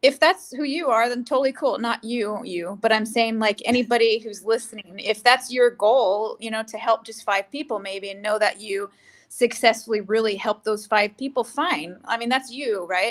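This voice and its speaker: An unremarkable speaking voice from a woman with an American accent, fairly high pitch, ordinary pitch variation, a moderate pace and hardly any pauses. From California, US (San Jose). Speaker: actress and entrepreneur. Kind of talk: interview.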